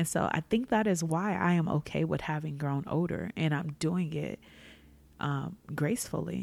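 With vocal fry and a warm tone, a woman talks at a moderate pace using lively intonation. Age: 30s. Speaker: podcast host. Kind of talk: solo reflective monologue. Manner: casual, conversational, warm.

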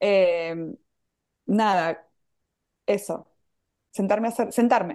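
Speaking at a very slow pace with an Argentine accent, a woman shows ordinary pitch variation against a quiet background. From Argentina. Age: 40s. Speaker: pastry chef and entrepreneur. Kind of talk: casual chat.

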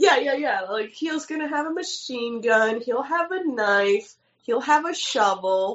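With a New York accent, a woman speaks with lively intonation. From New York City, Lower East Side. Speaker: filmmaker. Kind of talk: casual chat. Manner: animated.

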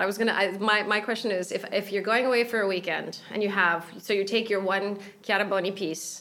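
A woman with a normal speaking voice talks fairly quickly, her medium pitch showing ordinary variation. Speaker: podcast host and travel journalist. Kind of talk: interview. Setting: designer's showroom.

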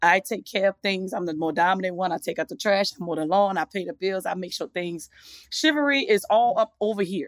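On a very clean recording with a silent background, a woman speaks at a fairly quick pace. Her medium-pitched voice has ordinary pitch variation and a dry, close sound with no echo. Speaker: comedian. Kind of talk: casual chat. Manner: fast talker.

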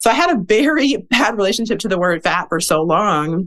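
With an American accent and an unremarkable speaking voice, a woman talks at a moderate pace with lively intonation. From US Midwest, Milwaukee, Wisconsin. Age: 30s. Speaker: author and educator. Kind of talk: interview.

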